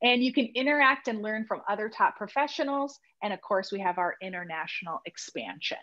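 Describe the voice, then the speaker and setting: Her bright, sharp tone at a fairly high pitch carries lively intonation as the woman speaks at a fairly quick pace with hardly any pauses. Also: quiet background. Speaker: real estate agent recruiting for a brokerage. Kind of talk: business presentation on a video call.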